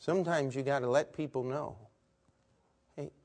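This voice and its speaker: A man with an American accent speaks at a moderate pace, his fairly high pitch showing ordinary variation. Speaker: preacher. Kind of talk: sermon. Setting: church.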